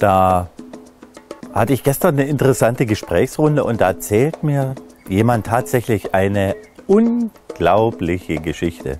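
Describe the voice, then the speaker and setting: At a fairly slow pace, a man speaks with a fairly low pitch and lively intonation. Faint music plays in the background, and the sound is dry with no echo. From Upper Lusatia, Saxony, Germany. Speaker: presenter. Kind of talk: casual talk to camera. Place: garden. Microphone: lapel.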